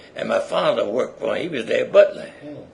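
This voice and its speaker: A man speaks at a moderate pace with an American accent. Noticeable background noise runs underneath. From South Philadelphia. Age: 80s+. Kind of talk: oral history interview answer.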